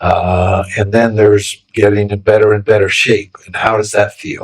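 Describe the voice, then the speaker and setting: A somewhat breathy man with an American accent and fairly low pitch. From US Midwest. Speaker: podcast guest, open ocean swimmer. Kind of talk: interview conversation. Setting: recorded in Phuket.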